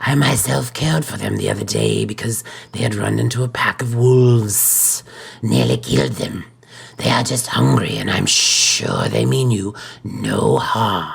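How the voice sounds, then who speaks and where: A man puts on a raspy character voice, fairly low in pitch, at a moderate pace. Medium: solo performance. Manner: gentle but stern.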